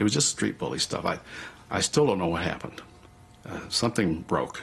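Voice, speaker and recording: In a Southwestern US accent, a man talks at a fairly quick pace with a fairly low pitch. His voice makes very wide pitch swings. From US Southwest. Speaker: Pixar co-founder, interviewee. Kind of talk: documentary interview. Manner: animated.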